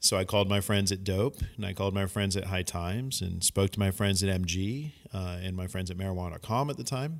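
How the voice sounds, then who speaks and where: In a normal speaking voice, a man with an American accent talks fairly quickly with hardly any pauses. His pitch is fairly low, with ordinary variation. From Northern California. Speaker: cannabis industry media professional. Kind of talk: casual podcast chat.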